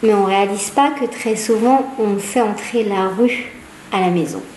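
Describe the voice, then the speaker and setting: With a Hebrew accent, a woman talks very slowly in a fairly high voice. Noticeable background noise and audible room echo fill the recording. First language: Hebrew (speaking French). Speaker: psychologist. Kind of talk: public talk. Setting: small audience in a room. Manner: hesitant, many fillers.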